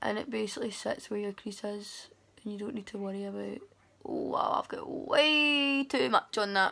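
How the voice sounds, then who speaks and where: With a Glasgow accent, a woman talks at a moderate pace. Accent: Scottish (Glasgow). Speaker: beauty vlogger. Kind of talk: makeup tutorial. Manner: soft-spoken.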